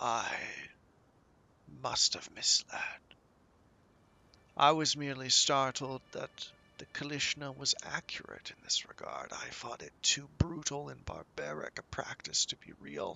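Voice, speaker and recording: A man whispers in a put-on character voice at a fairly slow pace, with long, frequent pauses. His loudness swings widely. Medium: actual play. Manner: wry, scholarly.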